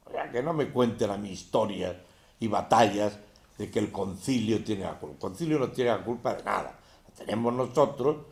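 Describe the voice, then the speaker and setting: Animated in tone, a man with a medium pitch and ordinary pitch variation talks at a fairly quick pace amid audible room echo. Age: 70s. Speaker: religious teacher. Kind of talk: lecture.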